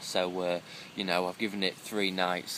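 The intonation is monotone and flat, in a dry sound with no echo and noticeable background noise. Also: man. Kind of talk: casual vlog chat. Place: tent. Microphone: phone near.

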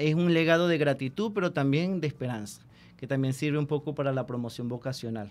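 At a fairly quick pace, a man speaks at a fairly high pitch with ordinary pitch variation. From Venezuela, Barquisimeto (Lara); Venezuela. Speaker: friar in religious training; radio guest. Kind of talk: radio interview. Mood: warm, reflective. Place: studio. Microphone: studio mic.

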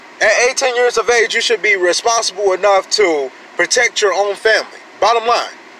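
In an American accent, a man with a high pitch speaks in a raised, projected voice, the sound dry with no echo and light background noise behind him. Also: ordinary pitch variation, very even loudness. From US. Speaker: gun-rights vlogger. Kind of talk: angry rant, fired-up gun-rights sermon. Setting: solo home video, talking to camera. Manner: loud, indignant, emphatic; fast, preachy, repeating points for emphasis. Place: car. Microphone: phone near.

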